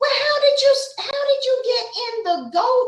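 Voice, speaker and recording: In an Atlanta accent, a woman speaks very slowly in an extremely high pitch with ordinary pitch variation, and room echo is audible. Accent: Southern, Atlanta. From Atlanta, US South. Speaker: YouTube interviewer. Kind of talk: casual interview.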